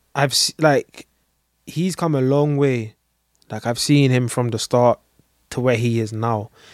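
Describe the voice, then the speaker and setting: A fairly slow, fairly even delivery in a London accent, with long, frequent pauses and a dry, close sound free of echo. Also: man, medium pitch for a man. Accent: London urban English. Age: 20s. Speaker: tattoo artist. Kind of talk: casual chat.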